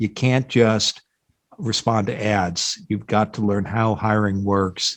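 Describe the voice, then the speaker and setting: Slowing to a fairly slow pace, a man speaks at a medium pitch. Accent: Midwestern US. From US Midwest, Iowa. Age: 60s. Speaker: job board founder, career expert. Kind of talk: podcast interview.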